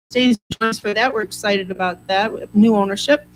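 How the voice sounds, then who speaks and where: Fairly high in pitch, this woman speaks at a fairly quick pace. Her intonation stays fairly even. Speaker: chamber of commerce representative. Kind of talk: community announcements. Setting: studio. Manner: fast.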